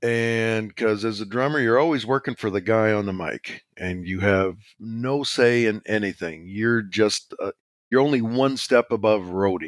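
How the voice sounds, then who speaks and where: A man with a Canadian accent speaks at a moderate pace, his fairly low voice showing ordinary pitch variation. The sound is dry and close with no echo, on a very clean recording with a silent background. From Saskatchewan, Canada. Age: 50s. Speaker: pencil artist and marketer. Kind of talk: casual interview chat. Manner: rambling, humorous.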